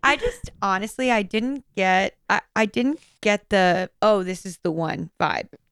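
In a normal speaking voice, a woman talks at a fairly slow pace with hardly any pauses, medium pitch and lively intonation, recorded with a dry, close sound and no echo. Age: 30s. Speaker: podcast co-host. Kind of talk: casual chat. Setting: remote recording over Zoom.

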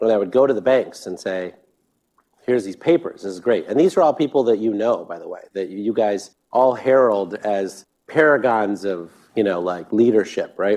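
A man with a normal speaking voice talks at a moderate pace in a fairly low pitch, his loudness swinging widely. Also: ordinary pitch variation. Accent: American. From US Midwest, Sterling, Illinois. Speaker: government energy official and clean energy investor. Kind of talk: live fireside chat. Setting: stage with audience.

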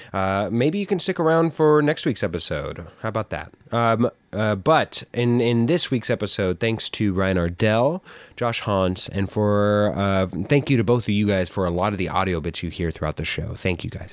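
A man with a plain, everyday voice, fairly low in pitch, with lively intonation at a moderate pace. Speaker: podcast co-host. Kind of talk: casual chat. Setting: virtual remote recording.

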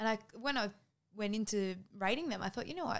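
The speaker is a woman with an Australian accent. She talks fairly quickly. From Australia, Cairns, north Queensland. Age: 20s. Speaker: coach. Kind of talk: casual chat.

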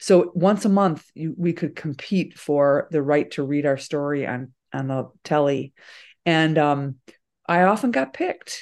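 A woman speaks at a fairly slow pace in a very deep, low pitch, with ordinary pitch variation over a quiet background. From suburban Chicago, US Midwest. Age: 60s. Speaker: author and journalist. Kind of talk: interview conversation about memoir.

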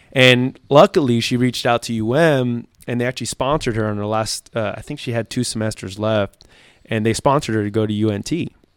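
With an American accent, a man talks at a fairly quick pace in a medium pitch with ordinary pitch variation, an unremarkable speaking voice captured in a dry, close sound with no echo and a very clean, silent background. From South Florida, Miami. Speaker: police lieutenant. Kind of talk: casual interview.

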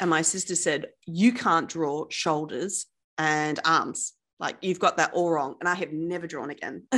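A woman with an Australian accent speaks at a fairly slow pace in a fairly low, bright, sharp voice. The recording is very clean, with a silent background. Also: ordinary pitch variation. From Perth, Western Australia. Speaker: wealth coach. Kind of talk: casual interview chat.

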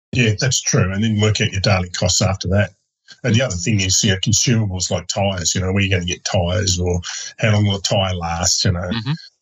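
A man with an Australian accent, fairly low-pitched and somewhat breathy, at a very fast pace. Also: fairly even intonation. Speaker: motorcycle traveller co-host. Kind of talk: casual chat. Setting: video call.

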